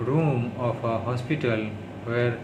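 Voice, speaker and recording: Noticeable background noise sits behind a man speaking at a very slow pace. His medium-pitched voice holds a fairly even intonation. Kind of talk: reading news aloud as speech practice. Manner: heavy stuttering.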